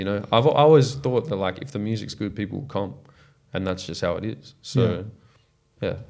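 In an Australian accent, a man speaks at a medium pitch and a moderate pace, with ordinary pitch variation. He leaves long, frequent pauses. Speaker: R&B singer. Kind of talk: casual chat. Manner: halting.

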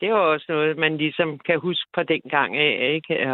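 Fairly slow female speech, very deep and low in pitch. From Denmark, Copenhagen area. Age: 70s. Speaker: caller. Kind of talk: casual chat. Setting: phone call.

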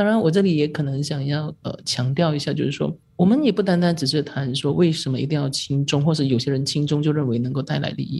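Somewhat breathy and dark, mellow in tone, the voice races at a very fast pace with hardly any pauses and ordinary pitch variation. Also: woman, very deep, low pitch for a woman. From Malaysia. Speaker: newspaper reporter. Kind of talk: podcast discussion.

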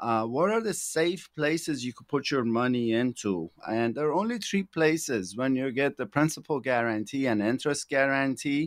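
Over a quiet background, a man with a Persian accent speaks at a moderate pace and medium pitch, with lively intonation, hardly any pauses, and a dry, close sound with no echo. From Iran. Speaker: financial planner. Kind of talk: casual chat. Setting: studio. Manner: halting.

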